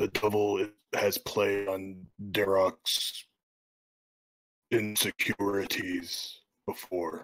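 A man uses a put-on character voice with a fairly low pitch. He goes at a very slow pace with long, frequent pauses. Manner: earnest, scheming.

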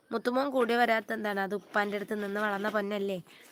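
A woman talks in an unremarkable speaking voice with fairly even intonation. The sound is dry and close, with no echo. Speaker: YouTuber. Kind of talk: live stream chat. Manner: casual, chatty.

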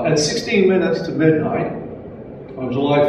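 A man's fairly high voice with lively intonation, strong room echo and noticeable background noise. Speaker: memorial event organizer, community board member. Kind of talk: memorial speech. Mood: solemn, measured. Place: hall. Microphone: podium.

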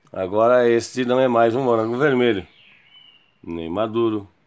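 In a Brazilian accent, a man speaks at a fairly slow pace. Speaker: YouTube storyteller. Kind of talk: children's story narration. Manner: animated, playful, voicing characters with sound effects. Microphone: phone near.

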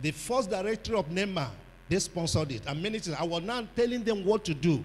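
A man with a high pitch speaks with lively intonation. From Nigeria. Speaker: pastor. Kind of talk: sermon. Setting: church conference with audience. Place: hall. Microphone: handheld.

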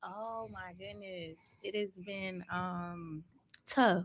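A woman speaks in an unremarkable speaking voice. Her pitch is fairly low and her intonation fairly even. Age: 30s. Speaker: vegan food entrepreneur. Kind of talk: casual interview.

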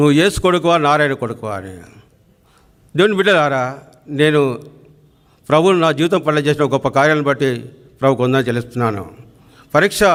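Here is a man with a normal speaking voice. His fairly high pitch moves with lively intonation. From Telangana, near Siddipet. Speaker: church member giving testimony. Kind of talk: testimony.

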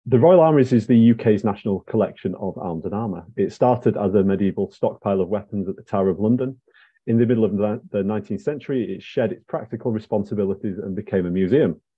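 Speaking at a very fast pace with hardly any pauses, a man with a fairly low pitch shows ordinary pitch variation and big swings in loudness over a quiet background. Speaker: museum research manager hosting lecture. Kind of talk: lecture introduction. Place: home room. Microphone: earbuds.

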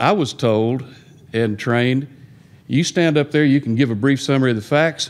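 His pitch sits in the medium range, and he has an ordinary speaking voice. The man's delivery comes at a fairly quick pace. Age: 60s. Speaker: divorce lawyer. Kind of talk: audience question. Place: meeting room. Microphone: podium.

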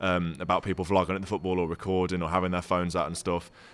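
Someone speaks at a very fast pace with a Brummie accent. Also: man. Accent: Brummie (Birmingham) English. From Birmingham, England. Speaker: football YouTuber. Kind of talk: casual chat; casual podcast Q&A chat. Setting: social club venue. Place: bar. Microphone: studio mic.

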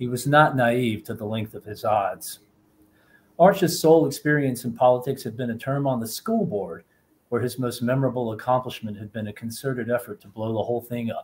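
A man with an American accent, somewhat breathy, at a fairly quick pace, with ordinary pitch variation and big swings in loudness. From US South. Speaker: novelist. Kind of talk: panel conversation. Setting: video call. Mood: relaxed, conversational. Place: home room. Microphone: earbuds.

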